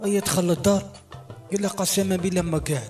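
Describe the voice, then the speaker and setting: A man with an Algerian accent, very fast and high-pitched, ordinary pitch variation, music in the background. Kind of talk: joke telling.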